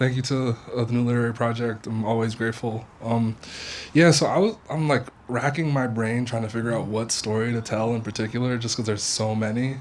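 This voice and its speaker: The voice moves at a fairly quick pace with fairly even intonation over noticeable background noise. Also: man, medium pitch for a man. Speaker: creative writing teaching fellow. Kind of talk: speech to audience. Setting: house party with audience. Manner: casual, filler-heavy.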